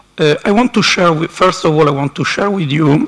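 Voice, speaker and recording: With an Italian accent, a man talks at a moderate pace with ordinary pitch variation against noticeable background noise. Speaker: university council representative. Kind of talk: conference speech. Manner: halting.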